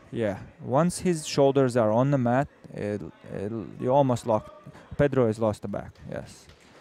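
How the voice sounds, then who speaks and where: Using a non-native accent, a man speaks at a fairly slow pace and medium pitch with ordinary pitch variation, leaving long, frequent pauses. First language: not English. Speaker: grappling commentator. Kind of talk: live commentary. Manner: halting, many fillers.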